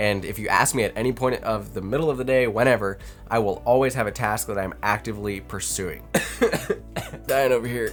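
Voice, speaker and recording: A man talks in a fairly low voice, his pitch varying in an ordinary way while music plays behind him. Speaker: productivity vlogger. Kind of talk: casual talking-head vlog. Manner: conversational with fillers.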